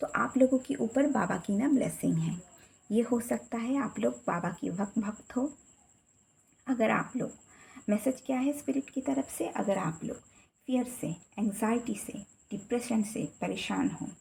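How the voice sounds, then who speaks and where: In a Bengali accent, a woman speaks with fairly high pitch and vocal fry. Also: lively intonation. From Bengal, India. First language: Bengali (speaking Hindi). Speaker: tarot reader. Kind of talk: tarot card reading. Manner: casual.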